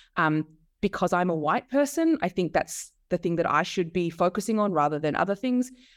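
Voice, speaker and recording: A woman with an Australian accent speaks at a fairly quick pace, her medium pitch carrying lively intonation and very even loudness. The recording is very clean with a silent background, and the sound is dry and close with no echo. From Australia, Melbourne. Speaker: author and media lecturer. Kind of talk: interview.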